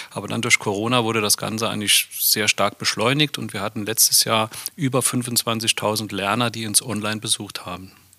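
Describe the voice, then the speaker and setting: A man talks at a moderate pace with fairly even intonation and hardly any pauses. The sound is dry and close with no echo, though noticeable background noise comes through. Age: 50s. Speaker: head of a company training center. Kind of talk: casual chat.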